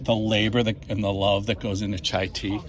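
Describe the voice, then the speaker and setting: A man with a Boston accent, plus noticeable background noise. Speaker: comic shop customer. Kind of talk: casual chat. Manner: animated.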